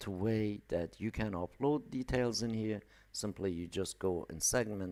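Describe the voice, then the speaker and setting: A man with a non-native accent speaks at a moderate pace with ordinary pitch variation. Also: very clean recording, silent background. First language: not English. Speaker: email marketing entrepreneur. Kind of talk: live stream tutorial. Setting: live stream. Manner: casual, filler-heavy.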